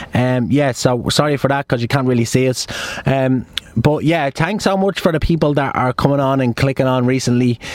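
A man with an Irish accent at a fairly quick pace, with ordinary pitch variation, very even loudness and noticeable background noise. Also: medium pitch for a man. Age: 20s. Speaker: podcast host. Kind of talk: casual chat. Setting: in a car.

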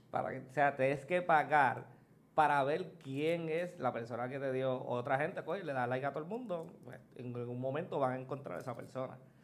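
At a fairly quick pace, a man speaks with a fairly high pitch and ordinary pitch variation. Audible room echo is present. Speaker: podcast guest. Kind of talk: casual chat.

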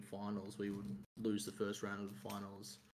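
Someone speaks at a moderate pace with an Australian accent. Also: man. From Australia, Melbourne. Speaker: sports fan guest. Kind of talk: casual chat.

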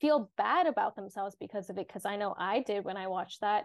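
A woman's unremarkable speaking voice, medium in pitch, at a moderate pace against a quiet background. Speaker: student journalist, wellness section editor. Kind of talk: casual interview. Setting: video call.

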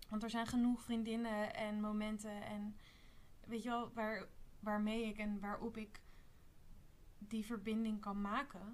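A woman talks at a fairly slow pace with long, frequent pauses, her fairly high voice monotone and flat in intonation, amid audible room echo. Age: 20s. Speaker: spiritual retreat participant. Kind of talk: casual chat.

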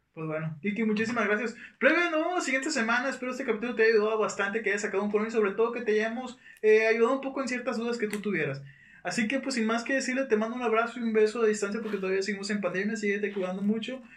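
Amid noticeable background noise and audible room echo, a man with a high pitch talks very fast, with ordinary pitch variation. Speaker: podcast host. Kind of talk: casual chat.

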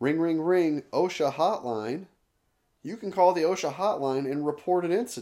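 A man's dark, mellow voice, fairly high in pitch, with ordinary pitch variation at a moderate pace. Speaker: podcast host. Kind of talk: solo commentary, article review. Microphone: new budget microphone.

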